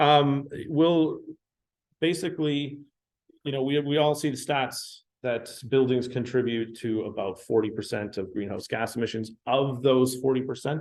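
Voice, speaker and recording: In a western Canadian accent, a man talks at a medium pitch with ordinary pitch variation. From Canada, Vancouver Island. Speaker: building enclosure engineer. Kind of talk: technical presentation. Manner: slow; halting, many fillers.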